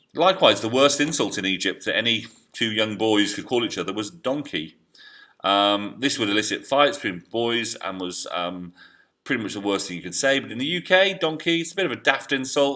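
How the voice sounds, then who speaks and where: On a very clean recording with a silent background, a man talks at a fairly quick pace in a bright, sharp tone with lively intonation. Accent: British. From England. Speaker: history teacher. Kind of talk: educational video diary. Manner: hesitant, with many fillers.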